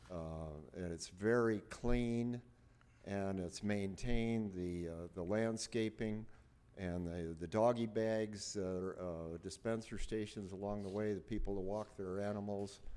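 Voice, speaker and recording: Audible room echo surrounds a dark, mellow tone delivered at a fairly slow pace with fairly even intonation. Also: man, fairly low pitch for a man. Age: 80s+. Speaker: resident giving public comment. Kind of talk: public comment. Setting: city council meeting. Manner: halting, many fillers.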